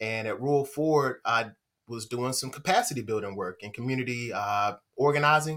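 A man with a plain, everyday voice and an American accent, medium in pitch with ordinary pitch variation at a moderate pace, in a very clean recording with a silent background. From North Carolina, Vance County (Henderson). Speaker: state grants manager. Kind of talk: casual interview.

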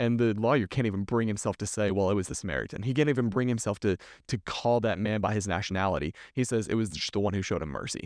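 Over a quiet background, a man with a Texan accent races along at a very fast pace with hardly any pauses, using a fairly low pitch and ordinary pitch variation, recorded dry and close with no echo. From Texas. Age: 20s. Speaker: youth minister. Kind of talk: casual chat.

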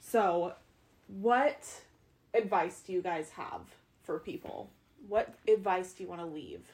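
A woman's medium-pitched voice with vocal fry, at a fairly slow pace. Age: 20s. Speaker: podcast host. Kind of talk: casual chat.

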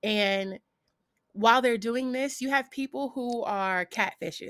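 With ordinary pitch variation and a moderate pace, this woman talks in a plain, everyday voice. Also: very clean recording, silent background. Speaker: content creator and streamer. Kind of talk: casual interview chat.

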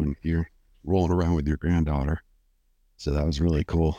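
Against a quiet background, a man with an American accent and a very deep, low pitch speaks at a fairly quick pace with ordinary pitch variation, the sound dry and close with no echo. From Southern California. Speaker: podcast host. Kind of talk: casual chat.

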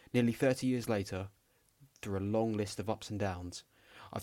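A man with a London accent talks in a fairly low pitch. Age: 20s. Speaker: podcast host, psychology student. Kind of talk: scripted podcast trailer. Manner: calm, not shouty.

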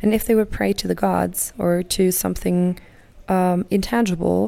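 A woman with a German accent at a fairly slow pace, in a very clean recording with a silent background. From Germany. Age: 30s. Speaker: podcast host, healer and teacher. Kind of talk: solo podcast monologue. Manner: warm; halting.

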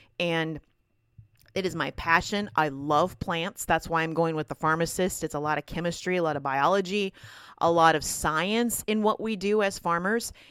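With a Minnesotan accent, a woman speaks at a moderate pace in a fairly low voice with ordinary pitch variation. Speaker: podcast host and farmer. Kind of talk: casual monologue. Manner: halting, repeats words.

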